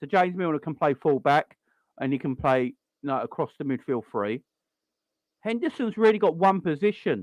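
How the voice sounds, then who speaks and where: Over a quiet background with a dry, close sound and no echo, a man with a South London accent and a fairly high pitch speaks at a moderate pace, with very wide pitch swings and long, frequent pauses. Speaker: football fan show host. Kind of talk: casual chat. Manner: animated.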